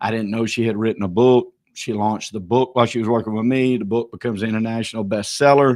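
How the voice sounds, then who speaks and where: A man with a Southern US accent at medium pitch, talking very fast in a flat monotone against a quiet background. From US South, small town north of Atlanta, Georgia. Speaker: real estate auctioneer. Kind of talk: tribute speech on livestream. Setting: livestream. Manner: halting.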